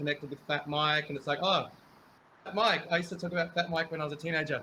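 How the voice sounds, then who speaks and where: A man talks at a very fast pace in a fairly high pitch with monotone, flat intonation. Noticeable background noise runs under the recording. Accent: Australian. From Australia, Melbourne (born New Zealand). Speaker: band member. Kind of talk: casual chat.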